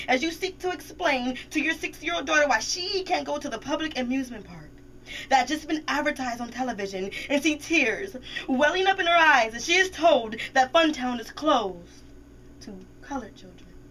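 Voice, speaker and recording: The voice moves at a moderate pace with lively intonation. Background noise is noticeable. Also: woman. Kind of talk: slam poetry performance. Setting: radio studio.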